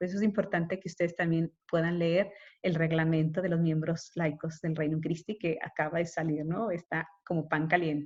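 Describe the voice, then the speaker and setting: A woman's fairly low voice in monotone, flat intonation, with hardly any pauses. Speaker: consecrated woman teaching a course. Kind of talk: lecture. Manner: fast. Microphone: unstable connection.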